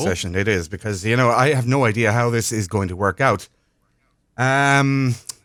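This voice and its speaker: Recorded very cleanly against a silent background, a man uses an ordinary speaking voice at a medium pitch, with ordinary pitch variation and a moderate pace. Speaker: radio show host. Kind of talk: live radio show broadcast from home.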